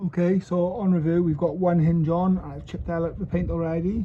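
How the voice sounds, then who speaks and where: At a moderate pace, a man talks in a high pitch with a dark, mellow tone. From Wales. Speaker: car enthusiast doing repairs. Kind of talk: casual talk to camera, repair vlog. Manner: mumbling.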